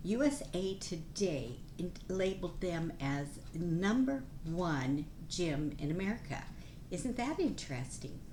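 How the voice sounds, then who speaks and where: In a room with audible echo, a woman speaks fairly slowly in a fairly low voice, her pitch swinging very widely. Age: 70s. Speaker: nurse and plant-based nutrition vlogger. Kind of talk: casual informational talk to camera. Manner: animated.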